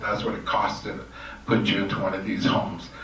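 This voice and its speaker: Amid noticeable background noise and audible room echo, a man talks with a Canadian accent. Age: 60s. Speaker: election candidate. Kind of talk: candidates forum answer.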